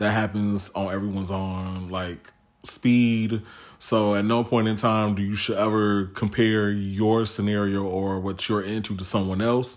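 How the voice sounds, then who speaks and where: With an American accent, a man talks at a fairly slow pace and a fairly low pitch. His intonation is monotone and flat. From Chicago south suburbs. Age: 30s. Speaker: podcast guest. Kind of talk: casual chat.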